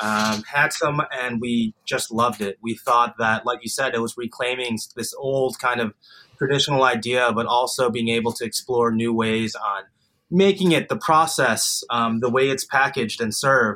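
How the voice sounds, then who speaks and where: A man with an American accent talks at a moderate pace in a plain, everyday voice, his medium pitch showing ordinary variation. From US Midwest. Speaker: chef. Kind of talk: casual chat.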